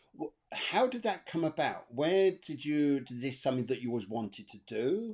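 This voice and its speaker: A man with an English accent and a fairly high pitch, speaking at a moderate pace in an enthusiastic tone, with very wide pitch swings and big swings in loudness. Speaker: interview host. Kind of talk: interview. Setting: live stream.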